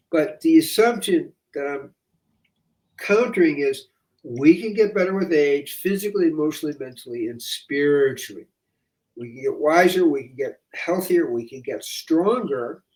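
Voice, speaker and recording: A man with a high pitch speaks with big swings in loudness. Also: lively intonation, moderate pace. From US Midwest, Chicago. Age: 80s+. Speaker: holistic medical doctor. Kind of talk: interview.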